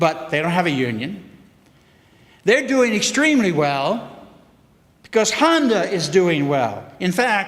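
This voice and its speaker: Amid noticeable background noise and audible room echo, a man with an American accent talks at a fairly slow pace with long, frequent pauses, using a high pitch and very wide pitch swings. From US South, Memphis, Tennessee. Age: 70s. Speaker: economics professor. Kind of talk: public forum speech.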